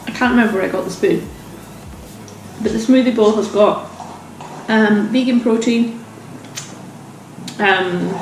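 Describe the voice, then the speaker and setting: With audible room echo and noticeable background noise, a woman speaks at a moderate pace in a fairly high pitch and fairly even intonation, leaving long, frequent pauses. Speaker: lifestyle vlogger. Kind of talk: casual vlog chat. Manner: quiet; eating while talking.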